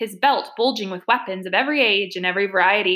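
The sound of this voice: An unforced reading voice carries the recording.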